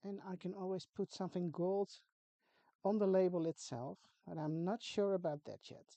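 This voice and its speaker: A woman with a Dutch accent, dark and mellow in tone, at a moderate pace with big swings in loudness, recorded dry and close with no echo. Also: medium pitch for a woman. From Netherlands. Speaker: craft tutorial creator. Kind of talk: tutorial. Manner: casual, chatty with hesitations.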